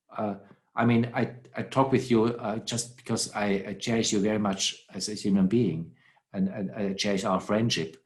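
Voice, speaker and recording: A man with a non-native accent talks at a moderate pace in a fairly low pitch. His intonation is fairly even, and the background is quiet. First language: not English. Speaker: philosopher. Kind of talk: conversation. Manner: halting.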